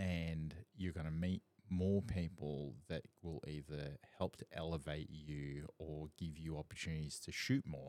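A man speaks at a fairly slow pace. His voice is very deep and low, with a dark, mellow tone. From Southeast Asia, then Perth from age 14. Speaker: podcast host and photographer. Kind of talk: casual chat. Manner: animated.

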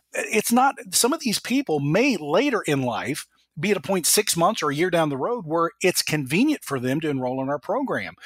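The sound is dry and close, with no echo. A man talks at a moderate pace with hardly any pauses and very wide pitch swings. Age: 50s. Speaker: aviation analyst and entrepreneur. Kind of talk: interview.

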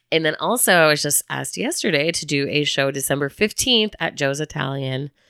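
On a very clean recording with a silent background, a woman with an American accent and a very deep, low pitch speaks at a fairly quick pace in an animated tone that is bright and sharp, her intonation lively. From Chicago, US Midwest. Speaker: podcast co-host. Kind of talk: casual chat. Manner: animated, laughing often.

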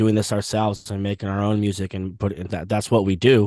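In a dry, close sound with no echo and a quiet background, a man with an American accent speaks in a monotone, flat intonation. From Southern California. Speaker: musician. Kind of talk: interview.

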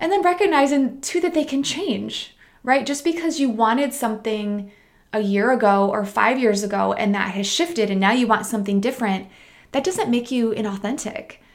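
At a moderate pace, a woman speaks in a fairly high voice with a Midwestern American accent. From US Midwest. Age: 30s. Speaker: podcast host and meditation teacher. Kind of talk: solo podcast monologue. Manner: casual, conversational.

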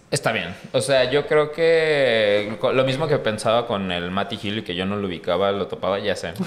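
A man with a medium-pitched voice talks at a moderate pace with lively intonation and hardly any pauses. Noticeable background noise can be heard. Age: 30s. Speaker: podcast host. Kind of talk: casual chat.

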